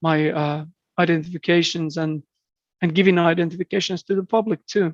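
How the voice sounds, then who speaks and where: In a Finnish accent, a man speaks with a high pitch and monotone, flat intonation in a dry, close sound with no echo. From southeastern Finland. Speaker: birder and entomologist. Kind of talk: podcast interview. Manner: halting, frequent repetitions.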